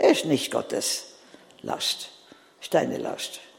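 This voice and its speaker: A woman speaks at a fairly slow pace. Noticeable background noise sits behind her. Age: 80s. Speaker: preacher. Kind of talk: sermon.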